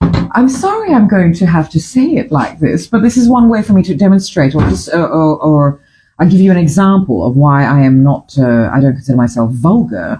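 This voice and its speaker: A woman's dark, mellow, somewhat breathy voice with very wide pitch swings, a fairly quick pace, hardly any pauses, and very even loudness. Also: fairly low pitch for a woman. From Fiji. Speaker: breakfast show host. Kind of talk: casual chat. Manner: halting.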